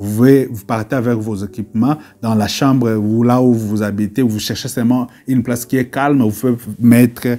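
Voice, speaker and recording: A man talks at a fairly slow pace in a dark, mellow tone. His intonation stays fairly even. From DR Congo. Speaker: YouTuber on online business. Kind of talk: video tutorial. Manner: halting, many repetitions; mixes French and English.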